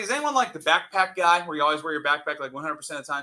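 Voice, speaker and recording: His voice has a bright, sharp tone and lively intonation, and the man talks at a very fast pace. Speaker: high school chemistry teacher. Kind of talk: classroom lecture. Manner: loud; energetic, casual.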